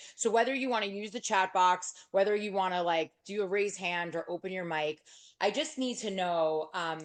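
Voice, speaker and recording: Ordinary pitch variation accompanies delivery at a moderate pace. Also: woman, medium pitch for a woman. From New York. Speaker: real estate agent and speaker. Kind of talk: workshop talk. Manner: loud; animated.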